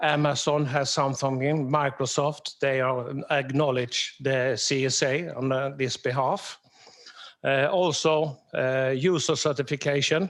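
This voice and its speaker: A man in a southern Swedish accent at a fairly slow pace, with a fairly high pitch, fairly even intonation and very even loudness. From southern Sweden. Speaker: security architect, conference speaker. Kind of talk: conference presentation.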